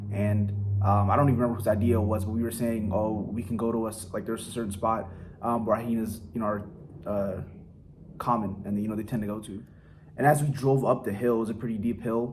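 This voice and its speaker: A man speaks at a very fast pace with an American accent. His pitch is medium and his intonation fairly even. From Silver Spring, Maryland, USA. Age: 20s. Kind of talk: casual vlog talk to camera.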